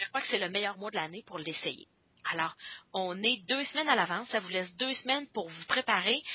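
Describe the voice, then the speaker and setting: Lively intonation marks this woman's medium-pitched voice. She speaks at a fairly quick pace. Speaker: team leader of product demonstrators. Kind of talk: conference call workshop. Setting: conference call. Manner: hesitant with frequent fillers.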